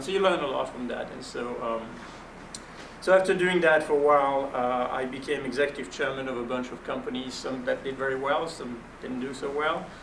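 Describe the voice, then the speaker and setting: Speaking at a fairly quick pace with a French accent, the voice has ordinary pitch variation, with audible room echo and noticeable background noise. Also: man. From Belgium. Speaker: venture capitalist. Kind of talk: panel interview.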